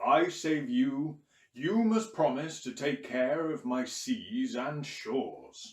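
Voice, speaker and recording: Very slow, fairly high-pitched put-on character voice from a man. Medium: read story. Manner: booming.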